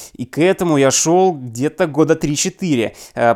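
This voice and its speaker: In a very clean recording with a silent background, a man with a fairly high pitch uses a normal speaking voice and ordinary pitch variation. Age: 30s. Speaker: business consultant and appraiser. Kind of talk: scripted podcast monologue.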